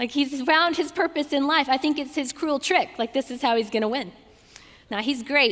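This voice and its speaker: A woman's high-pitched, animated voice in a Southern US accent, at a moderate pace with ordinary pitch variation. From US South, Georgia. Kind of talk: talk to a student audience.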